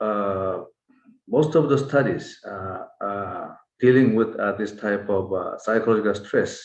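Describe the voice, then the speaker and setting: A man talks at a very slow pace. His pitch sits in the medium range, with ordinary pitch variation. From South Korea. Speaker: hand surgeon, professor. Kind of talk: webinar Q&A discussion. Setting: video call webinar. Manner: halting, many filler sounds.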